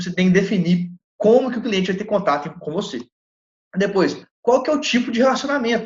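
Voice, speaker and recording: A man's high-pitched voice at a fairly quick pace, lively intonation and long, frequent pauses. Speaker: lecturer on legal entrepreneurship. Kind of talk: lecture. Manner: animated; fast.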